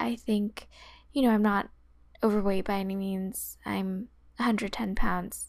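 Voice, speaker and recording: This woman has an American accent. She speaks at a very slow pace. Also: very clean recording, silent background. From US West Coast, San Francisco Bay Area. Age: 20s. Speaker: podcast host. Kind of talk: solo podcast monologue.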